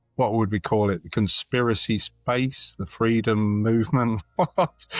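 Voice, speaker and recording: Very slow male speech in a Lincolnshire accent, medium in pitch with ordinary pitch variation, dry and close with no echo, with music in the background. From England, Lincolnshire. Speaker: community organisation member. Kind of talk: podcast interview. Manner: halting, many fillers.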